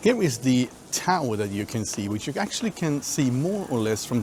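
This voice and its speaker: Speaking at a medium pitch with a non-native accent, a man lets his voice swing very widely in pitch. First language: not English. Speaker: travel vlogger. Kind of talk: casual vlog commentary. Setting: outdoors. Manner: halting.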